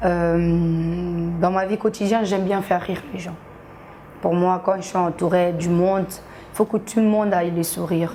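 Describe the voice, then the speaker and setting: With monotone, flat intonation, a woman speaks at a fairly slow pace. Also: medium pitch for a woman. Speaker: social media comedian. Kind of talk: TV interview.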